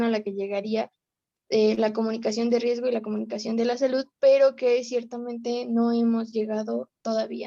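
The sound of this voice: A woman speaks at a fairly quick pace with a fairly high pitch, a dark, mellow tone and little pitch movement.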